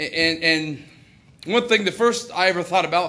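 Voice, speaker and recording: A man with an American accent uses a raised, projected voice at a high pitch. Audible room echo surrounds him. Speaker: comedian and farmer. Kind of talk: stand-up. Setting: stage with audience.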